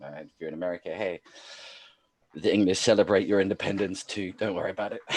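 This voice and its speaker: Talking at a very fast pace, a man with a fairly low pitch keeps his intonation fairly even while his loudness swings widely. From South Africa, Cape. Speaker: podcast host. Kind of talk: casual chat.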